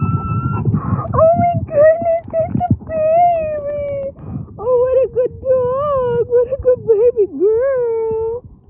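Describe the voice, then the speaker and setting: In a put-on character voice, the speaker uses an extremely high pitch at a very slow pace. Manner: praising, cooing to a dog.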